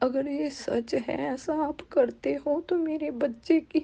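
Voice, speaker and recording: A woman speaks with a Punjabi accent. Her pitch is high. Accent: Punjabi-accented Hindi. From Punjab, India. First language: Punjabi (speaking Hindi). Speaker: devotee sharing experience. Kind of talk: testimony. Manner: halting.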